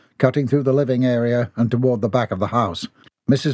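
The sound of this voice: Against a quiet background, an unforced reading voice carries fairly even intonation.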